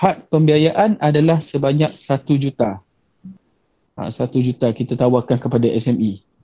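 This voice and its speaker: A man's dark, mellow, somewhat breathy voice at a fairly slow pace, with ordinary pitch variation and very even loudness over a quiet background. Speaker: bank officer. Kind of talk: webinar presentation. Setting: video call. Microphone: video call.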